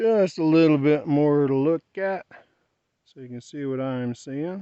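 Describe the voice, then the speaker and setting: A man speaks quietly with ordinary pitch variation. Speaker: travel vlogger. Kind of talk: vlog narration while hiking. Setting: outdoors. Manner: soft-spoken.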